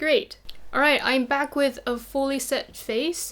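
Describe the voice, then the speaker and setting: The recording is very clean, with a silent background. The speaker has a non-native accent. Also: woman. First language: not English. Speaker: beauty youtuber. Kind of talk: makeup tutorial chat. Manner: casual.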